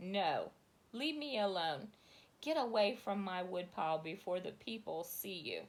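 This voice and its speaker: A put-on character voice, hissing, moves at a moderate pace through very wide pitch swings. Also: woman, medium pitch for a woman. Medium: read story.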